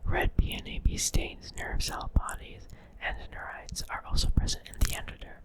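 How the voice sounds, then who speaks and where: Noticeable background noise surrounds whispering delivered at a moderate pace. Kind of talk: ASMR reading of a science article. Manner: whispered; soft.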